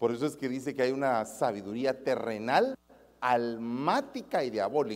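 A man talks in an animated tone. His pace is fairly slow. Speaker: preacher. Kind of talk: sermon. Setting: church service with congregation.

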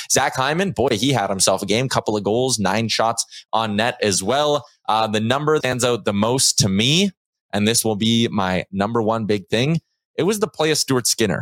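Recorded very cleanly against a silent background with a dry, close sound and no echo, a man with a Canadian accent and a normal speaking voice talks at a moderate pace and medium pitch, with ordinary pitch variation and very even loudness. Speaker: sports podcast host. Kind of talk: casual sports talk show. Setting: studio.

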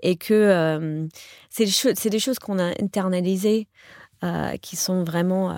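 A woman's medium-pitched voice at a very slow pace, with fairly even intonation, long, frequent pauses and a dry, close sound with no echo on a very clean recording with a silent background. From US, New York. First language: English (speaking French). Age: 40s. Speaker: professional coach. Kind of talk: interview conversation. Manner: halting, many repetitions.

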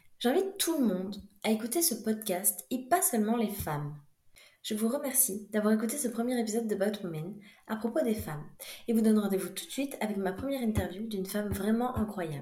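With audible room echo, a woman talks at a fairly quick pace in a fairly high, somewhat breathy voice with a dark, mellow tone and lively intonation. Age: 20s. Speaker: podcast host, dentist. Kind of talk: scripted narration.

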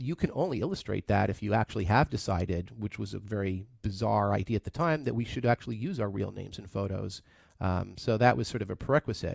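Speaking at a very fast pace, a man with a fairly low pitch and ordinary pitch variation comes through a very clean recording with a silent background and a dry, close sound with no echo. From Canada (Toronto). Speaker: tech entrepreneur. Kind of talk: radio interview. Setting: studio.

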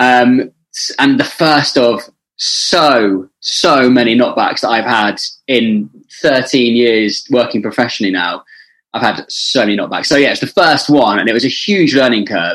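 A man talks at a fairly slow pace in an ordinary speaking voice. His pitch is medium, with ordinary pitch variation. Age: 20s. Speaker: radio presenter. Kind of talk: casual chat.

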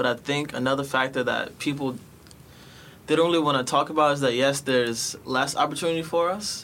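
A man with an American accent speaks at a moderate pace in a normal speaking voice, his medium pitch held in fairly even intonation. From New York City, Bronx. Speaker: former youth tech program participant. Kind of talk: casual chat.

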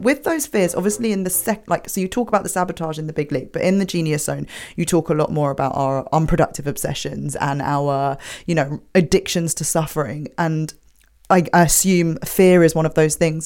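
A woman with a fairly low voice speaks at a fairly quick pace with ordinary pitch variation, on a very clean recording with a silent background. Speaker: podcast host and business coach. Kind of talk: interview. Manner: pleasant modulation.

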